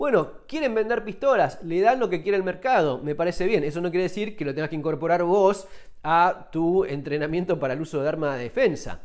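In a Rioplatense accent, a man speaks at a fairly quick pace with lively intonation. His pitch is high, and the background is quiet. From Argentina. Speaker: survival and firearms YouTuber, author. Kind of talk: tutorial. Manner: casual, conversational. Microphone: phone near.

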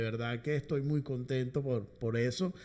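A man at a fairly slow pace, intonation fairly even. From Venezuela, Caracas. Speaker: musician and orchestra conductor; guest. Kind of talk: interview. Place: studio. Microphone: studio mic.

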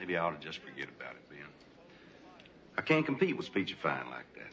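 A man's put-on character voice, extremely low in pitch, bright and sharp in tone, with very wide pitch swings, a fairly quick pace and audible room echo

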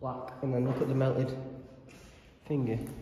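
A man speaks at a moderate pace over light background noise, with audible room echo. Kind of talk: casual vlog chat. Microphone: phone near.

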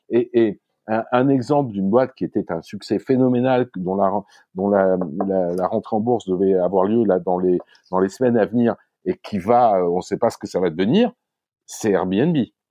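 A man with a normal speaking voice talks at a fairly low pitch and a moderate pace, with ordinary pitch variation. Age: 60s. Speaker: startup founder. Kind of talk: casual interview.

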